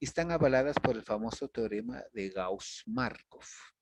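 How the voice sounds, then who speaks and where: Over a quiet background, a man with an ordinary speaking voice talks at a medium pitch. His intonation is lively, and the sound is dry and close with no echo. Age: 60s. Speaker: university lecturer. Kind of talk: lecture.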